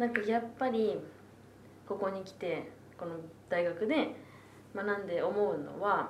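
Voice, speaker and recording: In a room with audible echo and noticeable background noise, a woman at medium pitch talks at a fairly slow pace, with long, frequent pauses, big swings in loudness and ordinary pitch variation. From Tokyo (Asakusa). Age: 20s. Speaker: university student. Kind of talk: casual chat. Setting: public recording with audience.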